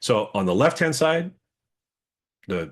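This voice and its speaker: The background stays quiet. A man's voice moves in very wide pitch swings. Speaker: webinar presenter. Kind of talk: webinar presentation. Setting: online webinar. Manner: fast.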